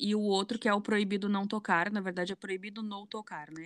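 With a southern Brazilian accent, a woman talks at a medium pitch. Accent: Porto Alegre (gaúcho). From southern Brazil, Porto Alegre. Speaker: museum educator and social media creator. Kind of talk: casual interview.

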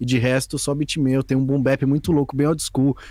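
Using a normal speaking voice, this man talks fairly quickly, his pitch sitting fairly high. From São Paulo, East Zone (Brazil). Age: 20s. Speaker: beatmaker and music producer. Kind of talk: casual interview chat. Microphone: poor audio in first ten minutes.

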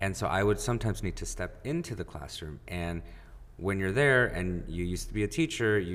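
A man speaks at a fairly quick pace in a fairly low pitch. His intonation is lively. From Mexican American, US. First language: Spanish. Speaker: mayoral candidate and hospice worker. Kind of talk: casual interview. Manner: hesitant with many fillers.

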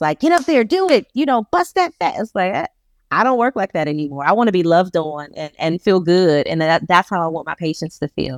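In an American accent, a woman with a medium pitch speaks at a fairly quick pace with an animated tone and lively intonation, in a dry, close sound with no echo. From Detroit, Michigan. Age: 40s. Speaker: physical therapist. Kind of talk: interview.

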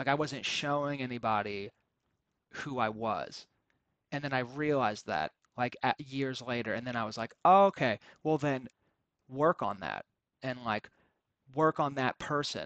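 A man with an American accent talks in an animated tone at medium pitch and a moderate pace, using ordinary pitch variation and long, frequent pauses. The sound is dry and close with no echo, over a quiet background. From North Carolina. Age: 20s. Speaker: podcast host, stand-up comedian. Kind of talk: casual solo monologue. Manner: animated, rambling.

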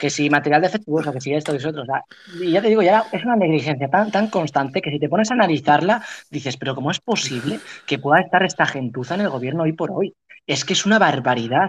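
Here a man speaks at a very fast pace. His fairly high voice has lively intonation. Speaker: political science student, show host. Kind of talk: heated debate. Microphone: phone microphone.

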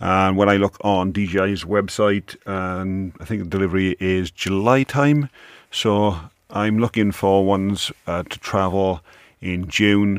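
A man with a British accent speaks fairly slowly at a fairly low pitch with fairly even intonation, in a very clean, dry, close recording with a silent background and no echo. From UK. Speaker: podcaster and tech blogger. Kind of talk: casual monologue. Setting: home office. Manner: unscripted, with stumbles.

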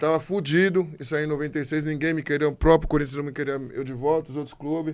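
Monotone, flat delivery with hardly any pauses. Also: man, fairly high pitch for a man. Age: 50s. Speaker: former footballer. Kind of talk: interview.

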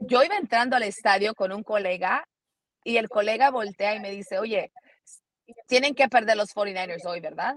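An unremarkable speaking voice from a woman, fairly high-pitched, at a moderate pace, with ordinary pitch variation, big swings in loudness, and a dry, close sound with no echo. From United States. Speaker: NFL analyst and sports reporter. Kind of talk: interview.

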